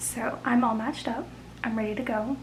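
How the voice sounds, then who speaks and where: A woman mumbles quietly with ordinary pitch variation. Audible room echo and noticeable background noise surround her. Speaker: booktuber. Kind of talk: casual vlog. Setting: at home late at night. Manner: mumbling.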